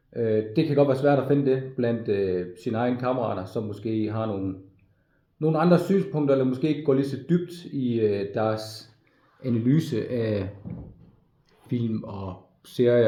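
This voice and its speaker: Room echo is audible as a man with a medium pitch speaks fairly slowly, his pitch varying in an ordinary way. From Denmark, Frederikshavn (North Jutland). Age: 40s. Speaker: navy veteran applying to media school. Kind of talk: application video monologue. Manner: halting, many fillers and repetitions.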